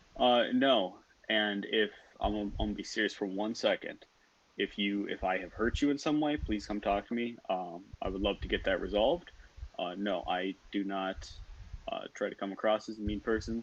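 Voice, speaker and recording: Here a man talks at a moderate pace in a fairly low voice. He speaks with a Minnesotan accent. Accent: Minnesotan, stretched O sounds. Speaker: student team lead. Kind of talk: casual interview. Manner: deadpan.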